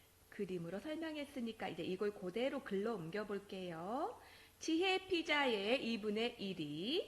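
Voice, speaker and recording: Very wide pitch swings from a woman, fairly high in pitch and fairly slow in pace. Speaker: elementary school teacher. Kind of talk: recorded math lesson for children.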